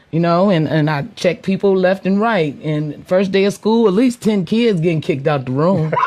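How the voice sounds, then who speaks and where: Speaking in an American accent at a moderate pace, a woman keeps her loudness very even and uses hardly any pauses, with ordinary pitch variation and noticeable background noise. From Connecticut. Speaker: teacher and step team coach. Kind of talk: radio interview.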